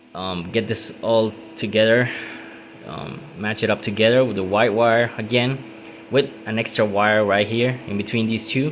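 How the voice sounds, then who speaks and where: Amid noticeable background noise, a man with a non-native accent speaks at a moderate pace, with a medium pitch and fairly even intonation. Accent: non-native English, self-described. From Puerto Rico. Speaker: car DIY youtuber. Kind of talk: tutorial. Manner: hesitant, many fillers.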